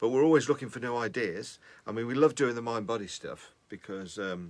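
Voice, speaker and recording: At a fairly quick pace, a man with a plain, everyday voice speaks in a medium pitch with ordinary pitch variation and big swings in loudness. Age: 50s. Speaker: music producer. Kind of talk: casual chat.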